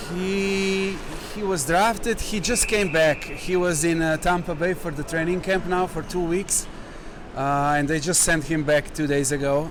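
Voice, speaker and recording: A man with a Slovenian accent speaks at a moderate pace. Noticeable background noise and audible room echo surround him. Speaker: hockey player. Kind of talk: interview. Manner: halting.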